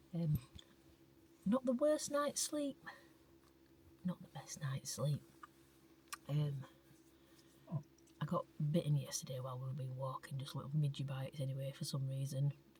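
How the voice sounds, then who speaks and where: A woman whispering at a moderate pace, somewhat breathy, with big swings in loudness and long, frequent pauses. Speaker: travel vlogger. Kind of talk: casual vlog narration. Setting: in a car; outdoors.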